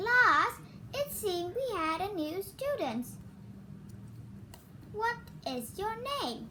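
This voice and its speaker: Over clear background noise, a woman puts on a character voice with a raised, projected delivery, extremely high pitch, very wide pitch swings, a very slow pace and long, frequent pauses. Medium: read story.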